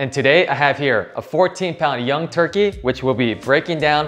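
Faint music sounds in the background. A man talks over it at a fairly quick speed. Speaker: cooking channel host. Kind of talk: tutorial. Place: kitchen.

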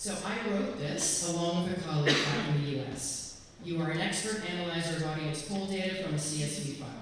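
A woman with a fairly low pitch talks at a moderate pace with ordinary pitch variation, in strong room echo with noticeable background noise. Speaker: presenter. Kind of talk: tutorial. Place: hall. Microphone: camera far.

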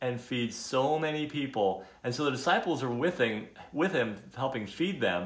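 This is a natural reading voice.

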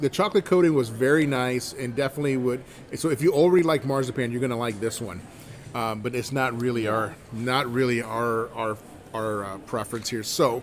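Light background noise sits under a man speaking at a fairly quick pace with ordinary pitch variation. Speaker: food reviewer. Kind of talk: casual vlog chat. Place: cafe. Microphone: phone near.

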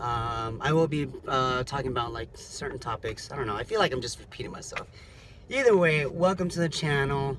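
With noticeable background noise behind him, a man speaks at a moderate pace with a fairly high pitch and ordinary pitch variation. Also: dry sound with no echo. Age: 30s. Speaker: rideshare driver and vlogger. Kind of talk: casual vlog monologue. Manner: halting, many fillers. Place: car. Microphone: phone near.

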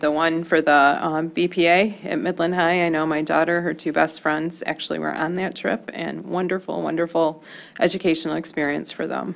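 A woman with an American accent, a fairly low pitch, vocal fry, monotone, flat intonation, a moderate pace and hardly any pauses. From US Midwest. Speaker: school board member. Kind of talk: public meeting discussion. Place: meeting room. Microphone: podium.

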